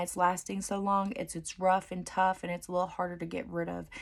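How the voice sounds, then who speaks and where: A woman with an unremarkable speaking voice talks at a fairly quick pace. Her medium pitch holds a fairly even intonation. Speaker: dental hygiene student. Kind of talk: study session tutorial.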